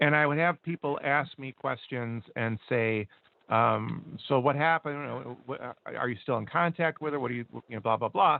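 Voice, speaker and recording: A man speaks at a moderate pace with a medium pitch and ordinary pitch variation. He has a plain, everyday voice. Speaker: radio co-host. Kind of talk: casual chat.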